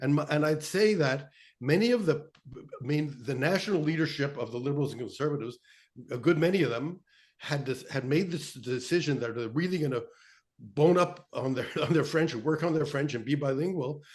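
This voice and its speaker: Somewhat breathy, a man with a fairly high pitch for a man speaks at a fairly quick pace with ordinary pitch variation. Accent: Canadian. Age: 70s. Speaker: political journalist. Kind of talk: panel discussion. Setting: video call. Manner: halting.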